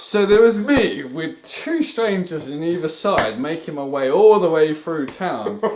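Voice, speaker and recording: There is audible room echo and noticeable background noise. Over it, a man talks with lively intonation. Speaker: podcast co-host. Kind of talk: casual chat. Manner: animated.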